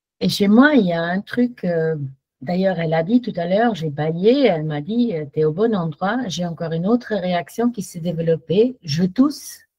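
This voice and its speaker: In a German accent, the speaker has a dark, mellow, somewhat breathy tone, lively intonation and a moderate pace. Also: woman, medium pitch for a woman. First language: German (speaking French). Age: 60s. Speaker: workshop participant giving testimony. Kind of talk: testimony. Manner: halting.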